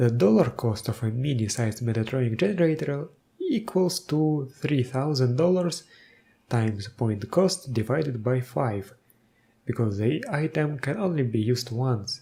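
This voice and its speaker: The voice is somewhat breathy, with lively intonation. It moves at a moderate pace. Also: man, medium pitch for a man. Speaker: tabletop game video host. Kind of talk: tutorial explanation to camera.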